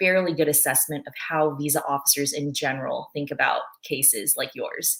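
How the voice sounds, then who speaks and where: A woman's very deep, low voice with a Chinese accent. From born in China, moved to US as a child. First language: Mandarin Chinese. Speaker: former visa officer. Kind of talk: webinar talk.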